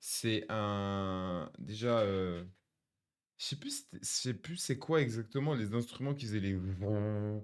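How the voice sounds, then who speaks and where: A man with a fairly low voice speaks at a very slow pace with ordinary pitch variation on a very clean recording with a silent background. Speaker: music reaction streamer. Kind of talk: music album reaction. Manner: calm; halting, many fillers.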